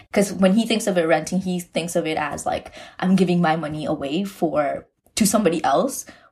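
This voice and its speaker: Somewhat breathy, this voice moves at a moderate pace. Its pitch variation is ordinary. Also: woman. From Markham, Ontario. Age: 20s. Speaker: stay-at-home mother. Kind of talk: interview.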